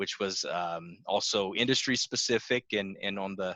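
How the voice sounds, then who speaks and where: With a dry, close sound and no echo, a man speaks fairly slowly in a fairly low voice that has a bright, sharp tone. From South Louisiana (New Iberia, Cajun country). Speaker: business broker and financial planner. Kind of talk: interview. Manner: frequent fillers (uh, um).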